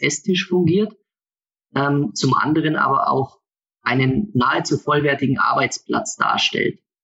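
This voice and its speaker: An ordinary speaking voice. It moves at a fairly slow pace with ordinary pitch variation. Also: man. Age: 20s. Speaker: product designer for a motorhome maker. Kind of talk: interview. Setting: video call.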